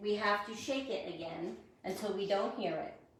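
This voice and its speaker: A woman's lively intonation at a fairly slow pace, amid audible room echo and noticeable background noise. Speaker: furniture painter and shop owner. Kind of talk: live stream tutorial. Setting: live stream. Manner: loud.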